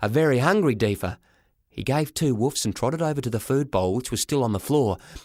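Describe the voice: Against a quiet background, the voice is plain reading aloud.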